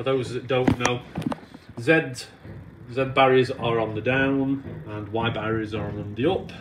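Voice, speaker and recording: This man's pitch varies in an ordinary way, with noticeable background noise behind him. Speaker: railway guide. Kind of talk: tutorial. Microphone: phone near.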